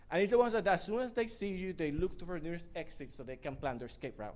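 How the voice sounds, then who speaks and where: A man's very fast, high-pitched speech with very wide pitch swings and a strong non-native accent. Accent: thick foreign. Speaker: spoken word performer. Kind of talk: stand-up style storytelling.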